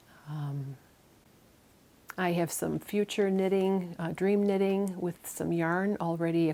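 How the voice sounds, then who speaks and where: A woman's fairly low-pitched voice with an American accent, a dark, mellow tone and ordinary pitch variation. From US Midwest, Chicago. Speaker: knitting and spinning vlogger. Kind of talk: casual vlog chat. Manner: many fillers and false starts.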